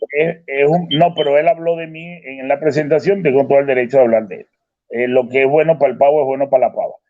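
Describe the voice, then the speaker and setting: A man's fairly high-pitched voice moves at a very fast pace with big swings in loudness. His intonation stays fairly even. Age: 60s. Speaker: retired professor, debater. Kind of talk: online debate.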